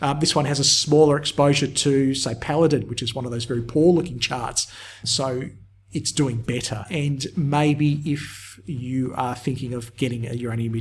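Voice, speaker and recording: A man with an Australian accent speaks at a moderate pace and medium pitch. His voice is somewhat breathy, with fairly even intonation. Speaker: market technical analyst. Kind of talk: tutorial. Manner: casual with frequent fillers.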